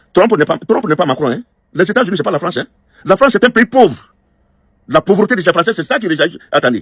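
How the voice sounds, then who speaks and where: A man's high-pitched, very fast speech with very wide pitch swings and long, frequent pauses, in a dry, close sound with no echo. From northern Côte d'Ivoire. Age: 60s. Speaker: diaspora political critic. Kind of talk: angry video message. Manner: halting, repeats words.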